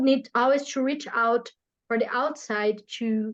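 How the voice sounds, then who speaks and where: A woman with a Portuguese accent, her pitch fairly high and her intonation fairly even. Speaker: podcast host and therapeutic practitioner. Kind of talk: casual interview conversation. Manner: halting, with frequent repetitions.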